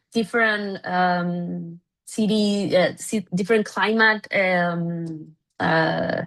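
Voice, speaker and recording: Speaking very slowly, a woman uses a medium pitch with a Spanish accent. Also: fairly even intonation, quiet background. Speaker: city government official. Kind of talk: conference presentation. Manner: halting, many fillers.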